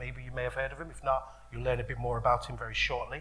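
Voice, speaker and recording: A man talks amid noticeable background noise and audible room echo. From Birmingham, England. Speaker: radio presenter and event host. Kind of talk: live event interview introduction. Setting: stage with live audience. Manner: casual, chatty.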